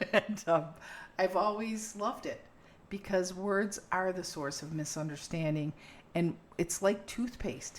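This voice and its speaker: A woman of medium pitch with an unremarkable speaking voice, ordinary pitch variation and a fairly slow pace. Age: 60s. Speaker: podcast host. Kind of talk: casual chat. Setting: kitchen.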